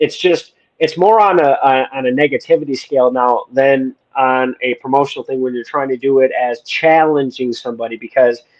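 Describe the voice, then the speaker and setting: This man has a plain, everyday voice, pitched fairly high, with an American accent. He keeps a moderate pace and ordinary pitch variation. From Wisconsin, US Midwest. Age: 40s. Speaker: podcast host, military veteran. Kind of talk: casual interview chat. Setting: live stream.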